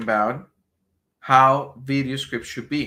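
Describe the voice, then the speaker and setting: Recorded very cleanly with a silent background, a man with a Spanish accent speaks at a very slow pace with ordinary pitch variation. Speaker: business marketing trainer. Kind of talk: live stream training. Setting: live stream. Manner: halting, many repetitions.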